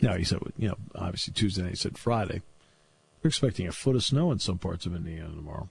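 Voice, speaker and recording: With lively intonation and a somewhat breathy quality, a man talks at a fairly quick pace. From New England. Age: 60s. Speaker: sports radio host and play-by-play announcer. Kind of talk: casual talk radio chat. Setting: radio studio.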